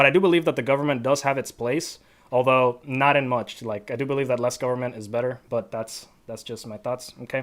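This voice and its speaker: A man with an American accent has an unremarkable speaking voice at a medium pitch and fairly even intonation. He talks at a fairly quick pace, with big swings in loudness. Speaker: podcast host. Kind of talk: casual discussion.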